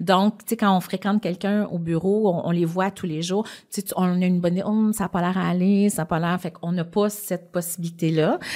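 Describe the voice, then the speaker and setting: A woman speaks at a fairly quick pace in a medium pitch. Her dark, mellow tone is delivered with monotone, flat intonation. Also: very clean recording, silent background. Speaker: business executive, podcast guest. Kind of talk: interview. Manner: fast.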